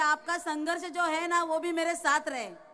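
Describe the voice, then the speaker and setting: A woman with a Marathi accent projects a raised voice in a bright, sharp tone, with audible room echo around her. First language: Marathi (speaking Hindi). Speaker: election candidate. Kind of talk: political rally speech. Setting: stage with audience.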